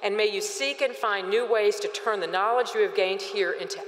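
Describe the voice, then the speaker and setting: This is a woman with a warm tone. Audible room echo surrounds her voice. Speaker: university president. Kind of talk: commencement address and ceremony presiding. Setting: stadium with audience. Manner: formal, warm, with light humor. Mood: warm, celebratory. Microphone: podium.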